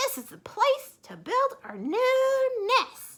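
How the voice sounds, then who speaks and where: A woman uses a put-on character voice with extremely high pitch, speaking very slowly. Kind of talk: bedtime story. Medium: read story. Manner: bossy, complaining.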